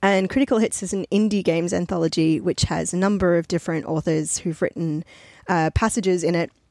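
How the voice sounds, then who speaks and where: A woman with an ordinary speaking voice talks at a fairly quick pace, with ordinary pitch variation. The recording is very clean and dry, with a silent background, a close sound and no echo. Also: fairly low pitch for a woman. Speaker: podcast host. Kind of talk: casual interview chat.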